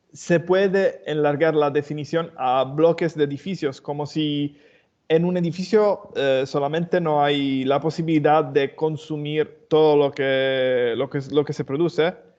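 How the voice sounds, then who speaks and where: With a non-native accent, a man speaks at a fairly slow pace. His intonation is fairly even. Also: fairly high pitch for a man. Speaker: webinar attendee asking a question. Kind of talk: question in Q&A. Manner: halting.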